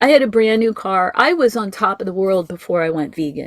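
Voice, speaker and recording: The pitch variation is ordinary. It is an unremarkable speaking voice. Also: woman. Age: 60s. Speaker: ex-vegan guest sharing health story. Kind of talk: interview testimony.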